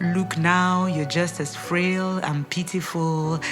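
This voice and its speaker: Over music in the background, a woman with a fairly low pitch speaks at a very slow pace. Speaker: gospel spoken word artist. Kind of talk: spoken word poetry performance.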